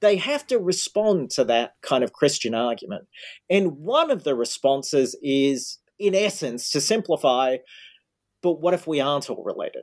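In an Australian accent, a man speaks with fairly high pitch and lively intonation, on a very clean recording with a silent background and a dry, close sound with no echo. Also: moderate pace. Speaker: history professor. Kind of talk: interview.

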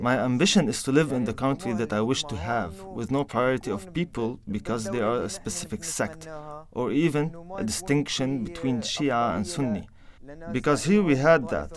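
A man's voice with very wide pitch swings at a moderate pace, over noticeable background noise. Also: medium pitch for a man. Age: 20s. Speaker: displaced Syrian activist. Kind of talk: interview testimony.

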